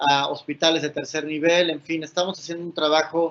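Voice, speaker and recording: At a fairly quick pace, a man talks in a monotone, flat intonation with a fairly high pitch. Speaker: patient advocacy speaker. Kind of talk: conference presentation.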